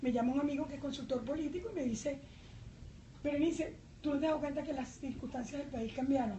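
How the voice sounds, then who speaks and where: A very fast pace amid audible room echo. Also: woman, high pitch for a woman, ordinary pitch variation. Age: 60s. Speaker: journalist and independent candidate. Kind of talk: political debate. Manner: animated.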